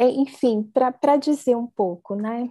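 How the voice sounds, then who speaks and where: Fairly high in pitch with ordinary variation, a woman's voice carries a dark, mellow tone. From Brazil, interior of São Paulo state. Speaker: anthropology researcher and professor. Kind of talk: academic talk in a casual video chat.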